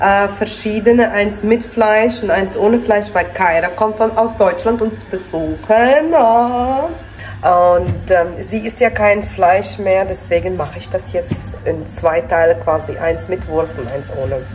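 The speech moves at a very slow pace, with light background noise behind it. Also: woman. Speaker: family vlogger. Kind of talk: casual vlog chat. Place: kitchen. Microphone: phone near.

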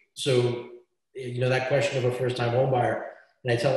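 A somewhat breathy man speaks at a fairly quick pace and a medium pitch. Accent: American. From Brooklyn, New York. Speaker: real estate attorney. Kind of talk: webinar panel Q&A. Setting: video call.

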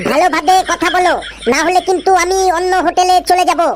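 A cartoonish character voice at an extremely high pitch delivers its lines at a moderate pace. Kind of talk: comic cartoon dubbing.

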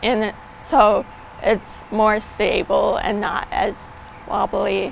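A woman speaks at a very slow pace. The sound is dry with no echo, with light background noise. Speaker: fundraiser cyclist. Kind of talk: interview answer. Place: open country. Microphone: lapel.

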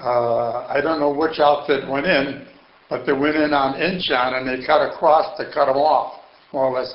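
Over noticeable background noise and audible room echo, a man speaks at a fairly high pitch and moderate pace with fairly even intonation. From Chicago, US Midwest. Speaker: Korean War veteran, retired auto mechanic. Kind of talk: oral history interview.

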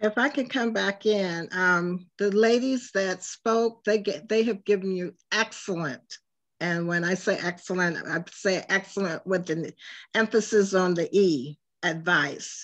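Against a quiet background, a woman with an unremarkable speaking voice talks at a fairly slow pace, her medium pitch showing ordinary variation. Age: 60s. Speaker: panelist. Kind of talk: panel discussion. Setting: video call.

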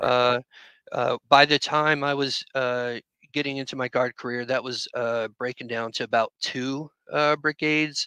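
A man with an American accent speaks fairly slowly at a fairly high pitch, in a bright, sharp tone. His intonation is monotone and flat, over a quiet background. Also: dry sound with no echo. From Central Florida. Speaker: retired air force combat controller veteran. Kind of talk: casual interview. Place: home room. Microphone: headset.

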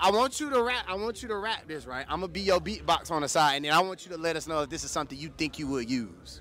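A man's fairly high voice at a very fast pace, hardly any pauses, lively intonation and an animated tone, dry sound with no echo, light background noise. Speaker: radio host. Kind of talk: casual interview. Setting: live event. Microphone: handheld.

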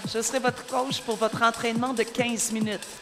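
Music plays in the background as a woman talks. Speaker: spin class coach. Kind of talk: fitness class instruction. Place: studio.

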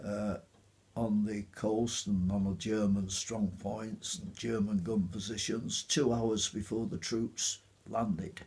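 A man with a Yorkshire accent talks at a very slow pace in a fairly low, somewhat breathy voice. His intonation stays fairly even. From Otley, Yorkshire. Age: 80s+. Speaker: war veteran. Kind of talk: interview answer. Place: home room.

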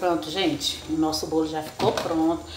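There is light background noise and audible room echo as a woman speaks at a fairly low pitch. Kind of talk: cooking tutorial chat. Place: kitchen. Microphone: phone near.

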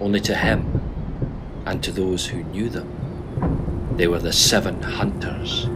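Amid noticeable background noise, a man with a very deep, low pitch speaks very slowly with hardly any pauses and very wide pitch swings. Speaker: stage actor. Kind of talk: dramatic storytelling monologue from a play.

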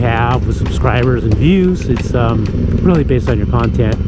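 A man's voice, dry with no echo, with music in the background. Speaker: motovlogger. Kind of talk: casual vlog chat. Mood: excited, upbeat. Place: motorbike. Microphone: helmet.

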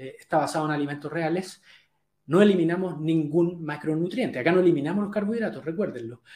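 A man talks at a fairly quick pace in a fairly high pitch for a man. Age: 40s. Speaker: health coach. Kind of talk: live webinar talk. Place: home room. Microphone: webcam.

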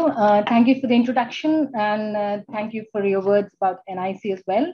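A woman's somewhat breathy voice at a moderate pace, with ordinary pitch variation. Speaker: keynote speaker. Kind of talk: keynote talk. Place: office. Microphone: video call.

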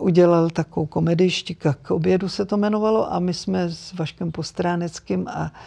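A woman speaks at a moderate pace with hardly any pauses, fairly low in pitch with ordinary pitch variation. Her tone is dark and mellow, and the background is quiet. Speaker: actress and dubbing artist. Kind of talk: interview answer. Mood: warm, reflective, turns sad. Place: studio.

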